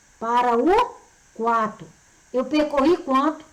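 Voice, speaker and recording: A woman speaks at a high pitch with lively intonation. Audible room echo surrounds her voice. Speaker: physics teacher. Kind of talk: lecture. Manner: animated.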